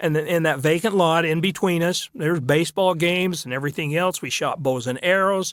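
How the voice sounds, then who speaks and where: A man with an American accent, high-pitched, talking at a fairly quick pace with hardly any pauses and ordinary pitch variation. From US West, southern Utah (St. George). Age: 70s. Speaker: former city mayor. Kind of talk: interview reminiscence.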